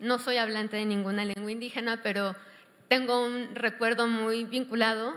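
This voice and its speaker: This woman talks at a moderate pace with a fairly high pitch. Her intonation is monotone and flat. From Mexico City. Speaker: panel moderator. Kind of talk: panel discussion moderation.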